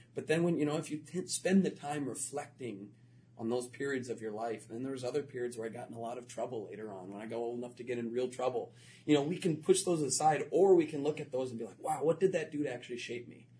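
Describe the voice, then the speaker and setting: Very fast and somewhat breathy, a man with an American accent speaks at a medium pitch in a dark, mellow tone, with ordinary pitch variation and big swings in loudness. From Florida. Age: 30s. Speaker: educator and author. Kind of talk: interview.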